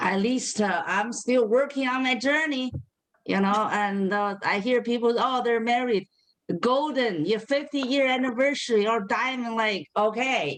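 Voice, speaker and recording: A woman with a Chinese accent, fairly high in pitch, at a fairly slow pace, with ordinary pitch variation and very even loudness. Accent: Chinese (Mandarin). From China, Beijing. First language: Mandarin Chinese. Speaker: comedian. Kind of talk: stand-up. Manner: halting.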